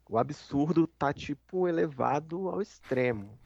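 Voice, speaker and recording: Speaking very slowly, a man with a fairly high pitch and a dark, mellow tone uses lively intonation in a dry, close recording with no echo. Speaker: gaming podcast co-host. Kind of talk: casual chat.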